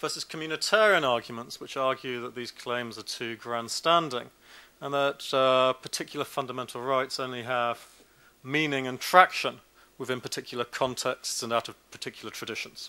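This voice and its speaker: A man with a British accent speaks at a medium pitch with ordinary pitch variation and a bright, sharp tone. His loudness swings widely, and the recording is very clean with a silent background. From Britain. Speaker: law professor. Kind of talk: academic lecture. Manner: fast.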